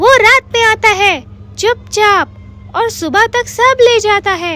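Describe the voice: In a cartoonish character voice pitched extremely high, a woman speaks over light background noise. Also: moderate pace.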